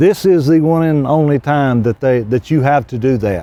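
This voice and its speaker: Using a Southern US accent, a man speaks with lively intonation at a fairly high pitch in a dark, mellow tone. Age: 60s. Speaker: retired high school football coach. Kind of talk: interview.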